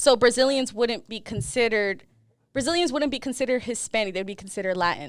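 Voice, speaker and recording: A woman with an American accent, a fairly high pitch, lively intonation, an animated tone and a very fast pace, in a very clean recording with a silent background. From US Northeast, Boston. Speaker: podcast co-host. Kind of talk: casual chat.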